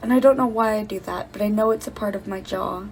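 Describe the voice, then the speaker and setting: Against noticeable background noise, a woman mumbles at a fairly high pitch with fairly even intonation. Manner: mumbling, swallowing words.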